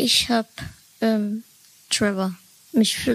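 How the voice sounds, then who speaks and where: Noticeable background noise is audible throughout. Through it, a woman speaks. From Dresden, Saxony. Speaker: podcaster. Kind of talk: casual podcast interview.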